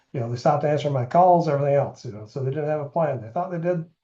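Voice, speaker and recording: A man speaks with a fairly high pitch and fairly even intonation. His tone is dark and mellow, somewhat breathy. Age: 60s. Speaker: insurance agent. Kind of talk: webinar presentation. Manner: casual, filler-heavy.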